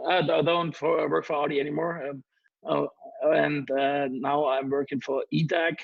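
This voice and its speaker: At a moderate pace, a man speaks in a monotone with flat intonation and a fairly high pitch. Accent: German. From Germany. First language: German. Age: 30s. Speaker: DJ. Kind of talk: interview. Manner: halting.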